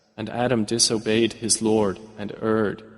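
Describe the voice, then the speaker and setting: The speaker is a man with a medium pitch. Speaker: English translation voiceover narrator. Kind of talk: translation voiceover of Quran verses.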